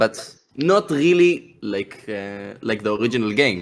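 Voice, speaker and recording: The speaker has an Israeli accent. The intonation is lively. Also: man. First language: Hebrew. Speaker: game project founder. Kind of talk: podcast interview. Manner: halting, many hesitations and repetitions.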